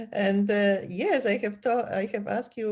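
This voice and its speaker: A woman with a Polish accent speaks in a fairly even intonation against a quiet background. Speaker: podcast host. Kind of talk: interview conversation.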